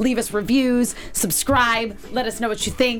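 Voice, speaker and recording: A woman's fairly high voice with an American accent, at a fairly quick pace, over music in the background. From US Northeast (Connecticut). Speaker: TV aftershow host. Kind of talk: casual chat. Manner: animated.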